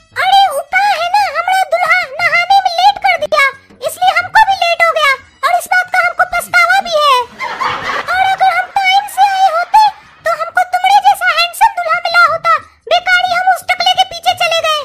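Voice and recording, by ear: The pitch is extremely high. It is a cartoonish character voice. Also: moderate pace.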